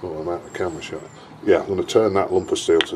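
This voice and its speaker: A man's voice over noticeable background noise. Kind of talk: tutorial. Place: workshop.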